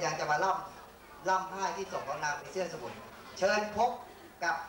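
A man speaks at a high pitch. Noticeable background noise and audible room echo fill the recording. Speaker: stage narrator or announcer. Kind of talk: narration of a story for a stage show. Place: stage.

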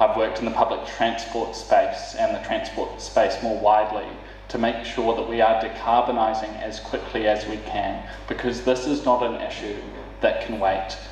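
A man speaks with a New Zealand accent. Light background noise and audible room echo are present. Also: moderate pace. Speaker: city councillor and mayoral candidate. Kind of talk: candidate forum speech. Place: hall.

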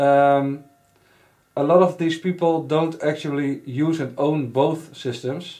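In a Dutch accent, a man speaks at a very slow pace with a fairly high pitch, a dark, mellow tone and fairly even intonation, all over a quiet background. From Netherlands. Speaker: RC hobbyist reviewer. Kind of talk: casual product review to camera. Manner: hesitant, many fillers. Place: workshop.

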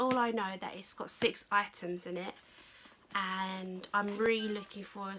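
This woman has a medium-pitched voice with a bright, sharp tone. She speaks at a moderate pace with fairly even intonation.

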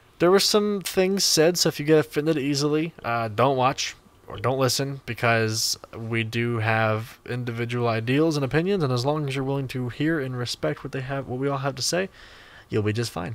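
Dry with no echo, the recording has a man talking at a moderate pace with ordinary pitch variation. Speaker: podcast host. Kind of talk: casual podcast conversation. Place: home room. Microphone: studio mic.

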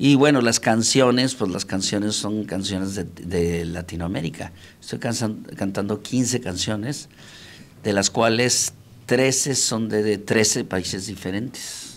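A man at a very slow pace, with ordinary pitch variation. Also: fairly low pitch for a man. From Mexico, Monterrey; Nuevo León, Mexico. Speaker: singer, tenor; interviewee. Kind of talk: interview. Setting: studio. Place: studio. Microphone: handheld.

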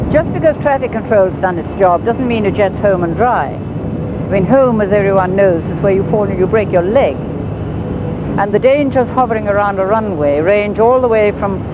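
Through noticeable background noise, a woman speaks at a moderate pace with ordinary pitch variation and dry sound with no echo. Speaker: TV presenter. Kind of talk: piece to camera. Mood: wry, then grave. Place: street.

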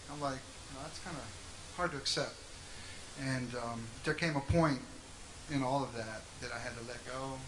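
The speech moves at a moderate pace. Noticeable background noise is present. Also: man. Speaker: interview guest. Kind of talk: interview answer. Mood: earnest, reflective testimony. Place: stage. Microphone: handheld.

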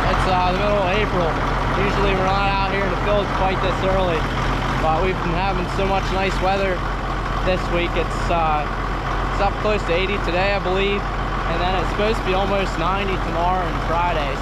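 Against loud background noise, a man speaks at a fairly quick pace, the sound dry with no echo. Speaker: young farmer vlogger. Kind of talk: casual vlog chat. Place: open country. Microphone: phone near.

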